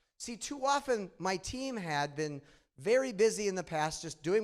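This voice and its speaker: Very wide pitch swings run through a man's speech in a Midwestern accent. The recording is very clean, with a silent background. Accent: nasal Midwestern. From Michigan, US Midwest. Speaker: conference speaker, data analytics leader. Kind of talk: conference presentation. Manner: conversational, engaging.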